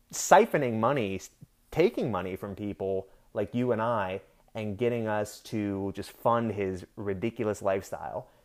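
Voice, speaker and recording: Speaking at a fairly slow pace, a man with an unremarkable speaking voice has a medium pitch and an American accent. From Pennsylvania. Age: 20s. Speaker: podcast host. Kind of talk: solo rant podcast. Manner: casual, with many filler words.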